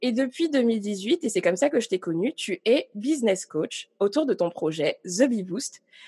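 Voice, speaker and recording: A woman's fairly high, somewhat breathy voice in a dark, mellow tone, with very wide pitch swings and hardly any pauses. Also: dry, close sound with no echo. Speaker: podcast host. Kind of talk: casual interview.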